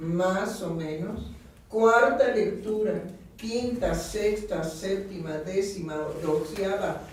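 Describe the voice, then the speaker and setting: Over noticeable background noise and audible room echo, a woman speaks at a very slow pace. Her pitch is medium. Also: ordinary pitch variation. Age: 80s+. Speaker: psychoanalyst radio host. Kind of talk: casual chat. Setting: radio studio.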